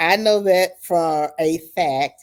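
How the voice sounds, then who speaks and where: On a very clean recording with a silent background, a woman with a fairly low pitch talks with ordinary pitch variation. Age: 60s. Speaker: author and motivational speaker. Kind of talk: interview. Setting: podcast.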